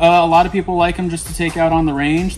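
There is light background noise. A man does the talking. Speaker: gun shop sales staff. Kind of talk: product demonstration explanation. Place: shop.

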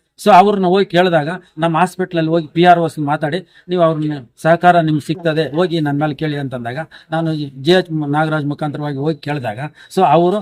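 This man talks in a normal speaking voice, fairly high in pitch, with fairly even intonation. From Karnataka, Chikkaballapur district. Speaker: retired school teacher. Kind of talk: interview.

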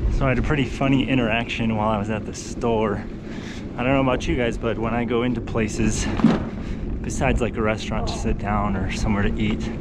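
Against loud background noise, a man talks at a very fast pace, the sound dry with no echo. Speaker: bike commuter vlogger. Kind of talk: casual vlog chat. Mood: amused, smiling storyteller. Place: bicycle. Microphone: phone near.

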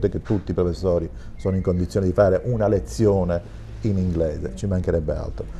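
A man with a very deep, low voice talks over light background noise. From Sicily. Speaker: school principal; guest. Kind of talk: TV talk show discussion. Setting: studio. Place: studio. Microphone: lapel.

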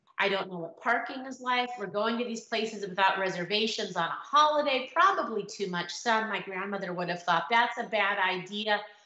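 Speech comes at a moderate pace with ordinary pitch variation. The background is quiet, though room echo is audible. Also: woman. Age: middle-aged. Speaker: dating blogger and author. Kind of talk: casual talk to camera. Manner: humorous, kind. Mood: warm, humorous. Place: home room. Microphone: webcam.

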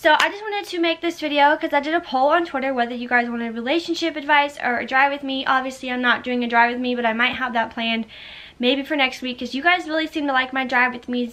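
A woman with an American accent talks at a very fast pace in a high, raised, projected voice. Her tone is bright and sharp, with ordinary pitch variation. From Florida. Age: 20s. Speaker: YouTuber. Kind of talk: casual vlog talk to camera. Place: home room. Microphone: phone near.

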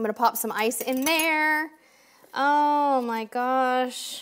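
Over light background noise, a woman with an American accent speaks in an animated tone at a high pitch with ordinary pitch variation. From San Diego, California; California. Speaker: cruise vlogger. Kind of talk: live stream chat. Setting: home live stream. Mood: warm, cheerful. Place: studio.

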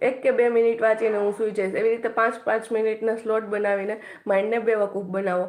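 Her pitch fairly high, a woman speaks in a monotone with flat intonation. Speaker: YouTuber and exam aspirant. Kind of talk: study tips livestream. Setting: live stream. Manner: casual, with frequent filler pauses.

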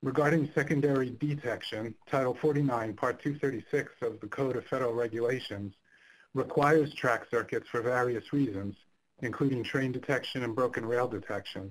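Here is a man with an unremarkable speaking voice at medium pitch. His pace is moderate and his intonation fairly even. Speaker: signaling engineer. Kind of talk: technical presentation.

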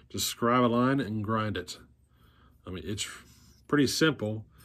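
With ordinary pitch variation and a moderate pace, a man speaks against a quiet background. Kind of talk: tutorial. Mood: relaxed, wrapping up. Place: workshop. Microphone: phone near.

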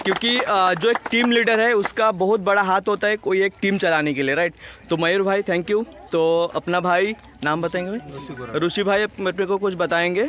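Over faint background music, a man speaks fairly slowly in a high voice with ordinary pitch variation, very even loudness and a dry sound with no echo. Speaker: vlogger filming a charity event. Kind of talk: casual vlog chat. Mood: warm, appreciative. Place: open country. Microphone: phone near.

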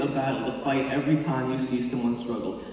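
The speaker's tone is animated and passionate at a fairly quick pace. Strong room echo and light background noise surround the voice. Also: man. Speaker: spoken word performer. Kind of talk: spoken word poetry, a faith-based performance. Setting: stage with audience, team showcase. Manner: animated, rhythmic, passionate delivery with rhymes. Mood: earnest, faith-driven. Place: stage. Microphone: camera far.

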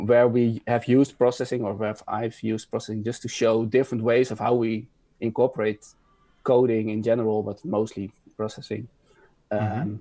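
Over a quiet background, a man talks at a moderate pace with a dark, mellow tone and fairly even intonation, the sound dry with no echo. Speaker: guest. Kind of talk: conference talk intro, casual. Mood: friendly, relaxed. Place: home room. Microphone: video call.

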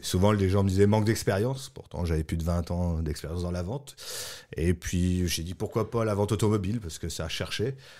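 Over a quiet background, a man speaks at a fairly quick pace with a very deep, low pitch, a dark, mellow tone and ordinary pitch variation. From east-central France. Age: 40s. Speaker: French immigrant, salesperson. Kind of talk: interview. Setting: studio. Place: studio.

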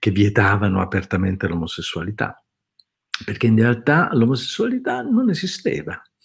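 The background is quiet. A man speaks in a somewhat breathy voice. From Italy. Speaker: writer and translator; interviewee. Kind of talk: interview. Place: home room.

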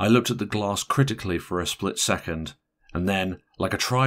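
The speaker is reading aloud in a natural voice. The background is quiet.

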